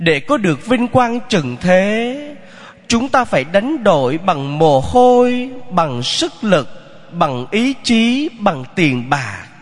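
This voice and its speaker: A man with a high voice speaks very slowly, his pitch swinging very widely while his loudness stays very even, over noticeable background noise. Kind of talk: sermon.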